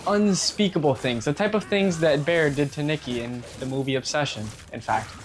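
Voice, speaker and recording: A man talks with lively intonation and a fairly high pitch, keeping a moderate pace as noticeable background noise plays. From Cuban-American family. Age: 20s. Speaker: gaming YouTuber. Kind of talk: casual gameplay commentary. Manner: rambling, conversational.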